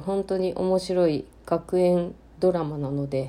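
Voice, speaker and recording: Fairly low in pitch, a woman's voice carries a dark, mellow tone. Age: 30s. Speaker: podcaster, mother of two. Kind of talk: solo casual talk. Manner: hesitant, many fillers.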